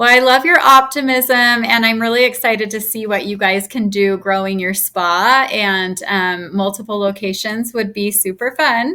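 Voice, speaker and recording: This is an unremarkable speaking voice at a moderate pace. It has ordinary pitch variation and hardly any pauses. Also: woman, fairly high pitch for a woman. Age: 40s. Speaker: podcast host. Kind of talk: podcast interview.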